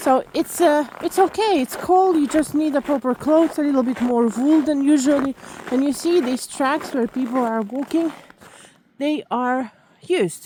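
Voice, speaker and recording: A non-native accent at a moderate pace, with ordinary pitch variation over noticeable background noise. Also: woman, high pitch for a woman. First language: not English. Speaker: vlogger. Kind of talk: walking vlog narration. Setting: outdoors in snow. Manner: halting, with fillers.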